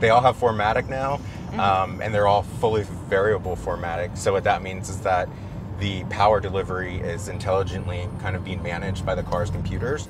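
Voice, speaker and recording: Music plays behind a man's speech. The audio is dry and echo-free. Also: fairly quick pace. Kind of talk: product explanation to a host. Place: car.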